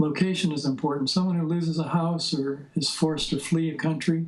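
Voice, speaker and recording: In a room with audible echo, a man with a fairly high pitch and a somewhat breathy voice speaks at a moderate pace in a monotone, flat intonation. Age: 70s. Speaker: psychotherapy teacher. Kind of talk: interview.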